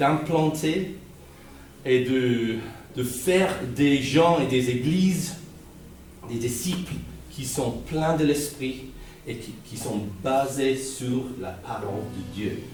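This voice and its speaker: Spoken with a Guernsey accent at a very slow pace, the clip has long, frequent pauses, big swings in loudness, ordinary pitch variation, audible room echo and noticeable background noise. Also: man, medium pitch for a man. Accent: non-French, Guernsey English accent in French. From Guernsey, Channel Islands. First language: Guernsey Norman patois, then English (speaking French). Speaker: visiting preacher. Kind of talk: sermon. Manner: halting, many repetitions and fillers.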